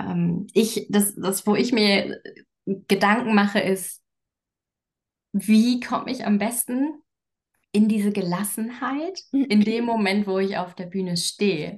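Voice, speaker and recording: Speaking at a very slow pace with long, frequent pauses, a woman uses a medium pitch, ordinary pitch variation and a somewhat breathy voice. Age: 30s. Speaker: coach and communication expert. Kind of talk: casual interview.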